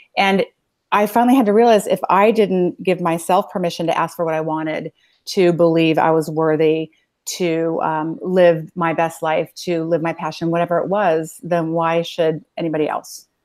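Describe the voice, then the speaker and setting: On a very clean recording with a silent background, a woman with a Californian accent speaks at a moderate pace, her fairly low pitch held in fairly even intonation. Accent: Californian American. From US West Coast (Los Angeles, San Fernando Valley). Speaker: self-help business executive and coach. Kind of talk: interview conversation.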